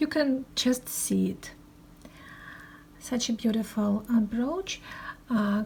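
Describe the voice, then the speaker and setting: A woman talks at a very slow pace with a Russian accent. Her pitch is fairly high. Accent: Russian, non-fluent English. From Russia, Moscow. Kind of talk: show-and-tell presentation. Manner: halting, many hesitations.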